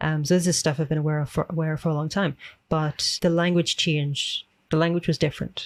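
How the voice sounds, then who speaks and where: Someone with a Northern Irish accent talks at a very fast pace on a very clean recording with a silent background. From Northern Ireland. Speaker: extremism researcher. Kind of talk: casual chat.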